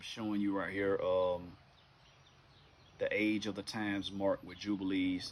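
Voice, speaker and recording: A man speaks in a Southern US accent at a moderate pace with long, frequent pauses. His intonation is monotone and flat, and his loudness swings widely. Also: fairly low pitch for a man. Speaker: bible teacher. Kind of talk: informal bible teaching monologue.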